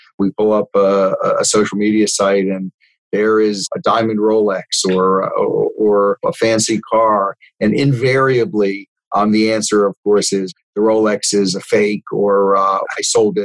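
Here a man speaks with an American accent at a moderate pace, his pitch fairly low and his intonation fairly even, in an unremarkable speaking voice. The sound is dry and close, with no echo. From South Florida, North Miami. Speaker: bankruptcy trustee and lawyer. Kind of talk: interview.

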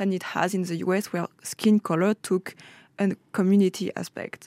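This woman has a French accent and a medium-pitched voice with a dark, mellow tone. Her intonation is fairly even, and the recording is very clean with a silent background. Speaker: student. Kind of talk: casual radio discussion.

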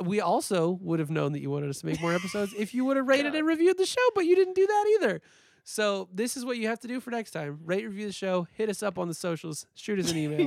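Playful in tone, a man speaks in a high pitch at a very fast pace. His pitch swings are very wide. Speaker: podcast host. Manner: playful, bantering.

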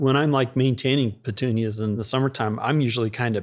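Fairly quick speech comes from a man with an unremarkable speaking voice on a very clean recording with a silent background. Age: 40s. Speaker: greenhouse grower and podcast co-host. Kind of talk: casual chat. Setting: flower showroom.

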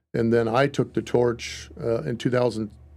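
A man's medium-pitched voice with an American accent at a moderate pace, music in the background. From Wisconsin. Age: 50s. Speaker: pastor. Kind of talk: casual chat.

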